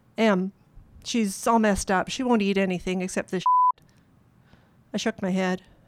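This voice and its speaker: In a Canadian accent, a woman with an ordinary speaking voice and medium pitch talks at a moderate pace, the sound dry and close with no echo. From Canadian prairies. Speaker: author. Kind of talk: reading aloud. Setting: stage with audience.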